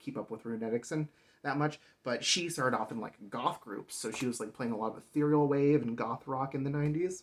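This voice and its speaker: A man's very fast speech at medium pitch with ordinary pitch variation. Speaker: music collector and reviewer. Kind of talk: casual talk to camera.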